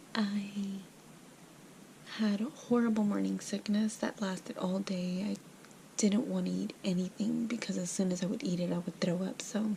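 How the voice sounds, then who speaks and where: A woman whispers with long, frequent pauses against noticeable background noise. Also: moderate pace. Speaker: pregnancy vlogger. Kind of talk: casual vlog. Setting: at home at night. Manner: whispering; hesitant, filler words.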